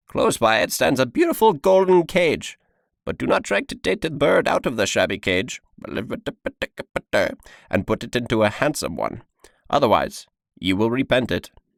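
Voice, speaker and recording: Putting on a character voice at a medium pitch, a man speaks at a moderate pace with long, frequent pauses. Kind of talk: audiobook reading.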